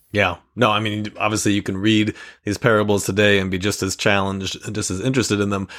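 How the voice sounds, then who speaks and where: At a very fast pace, the words come out in a flat, monotone intonation. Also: man, fairly low pitch for a man. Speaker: podcast host. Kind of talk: casual podcast hosting with a sales pitch.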